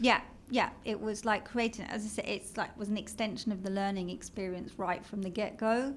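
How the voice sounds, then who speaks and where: A woman with a British accent, medium pitch, fairly even intonation and a fairly quick pace. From London, England. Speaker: marketing executive. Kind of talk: interview.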